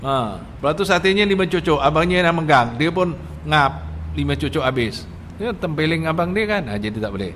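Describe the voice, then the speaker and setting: The speech moves at a fairly quick pace with very wide pitch swings, and audible room echo surrounds it. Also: man, fairly high pitch for a man. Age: 60s. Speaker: religious teacher. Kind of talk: religious lecture. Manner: animated.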